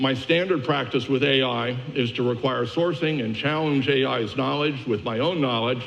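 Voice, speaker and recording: A man at a moderate pace with fairly even intonation and hardly any pauses, amid audible room echo and noticeable background noise. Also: medium pitch for a man. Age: 70s. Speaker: media industry analyst. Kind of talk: conference keynote presentation. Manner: casual with many fillers.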